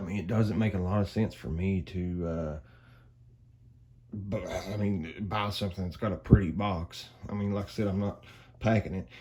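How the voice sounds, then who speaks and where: Speaking at a moderate pace with an Appalachian accent, a man has a fairly low, somewhat breathy voice with ordinary pitch variation. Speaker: flashlight reviewer. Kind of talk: product review. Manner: casual, hesitant with many fillers.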